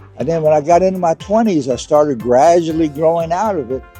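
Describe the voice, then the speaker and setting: With music in the background, a man talks at a fairly high pitch. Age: 80s+. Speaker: retired engineer and competitive cyclist. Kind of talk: interview answer.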